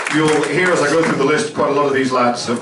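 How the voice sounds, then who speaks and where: A man speaks with a Scottish accent and fairly even intonation. Audible room echo and noticeable background noise surround him. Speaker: radio presenter hosting player introductions. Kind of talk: live event introductions and interviews.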